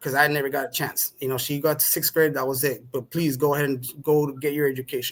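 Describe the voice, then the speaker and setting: Fairly high male voice at a very fast pace, monotone and flat, with hardly any pauses. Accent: Spanish. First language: Spanish. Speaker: podcast guest. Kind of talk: conversational interview.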